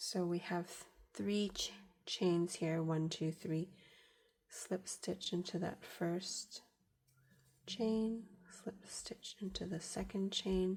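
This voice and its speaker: At a very slow pace with long, frequent pauses, the somewhat breathy voice keeps a fairly even intonation. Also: woman, medium pitch for a woman. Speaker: crochet tutorial maker. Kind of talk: tutorial. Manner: halting, with fillers.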